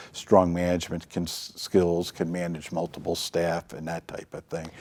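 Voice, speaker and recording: Speaking at a moderate pace, a man with a very deep, low pitch keeps a monotone, flat intonation while his loudness swings widely. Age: 60s. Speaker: nonprofit executive director. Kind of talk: interview. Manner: halting.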